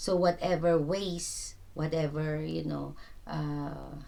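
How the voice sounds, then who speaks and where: A woman's voice comes with audible room echo. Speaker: tarot reader. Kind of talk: tarot reading. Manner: halting, stuttering; casual, filler-heavy.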